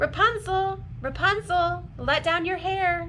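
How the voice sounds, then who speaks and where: A squeaky, put-on character voice at an extremely high pitch and a fairly slow pace, over clear background noise. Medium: read story.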